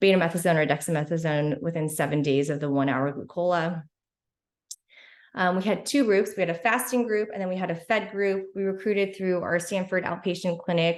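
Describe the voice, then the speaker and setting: A woman talks at a fairly quick pace with a fairly low pitch and ordinary pitch variation. Audible echo from the room surrounds her voice. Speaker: physician researcher. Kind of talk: conference presentation. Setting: virtual symposium, screen sharing. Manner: fast; halting with fillers.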